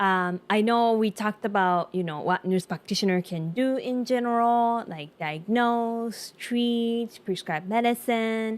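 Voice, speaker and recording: The speech runs at a fairly slow pace with hardly any pauses and ordinary pitch variation, on a very clean recording with a silent background. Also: woman, fairly high pitch for a woman. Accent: Japanese. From Japan. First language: Japanese. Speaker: nurse practitioner. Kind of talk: casual talk to camera.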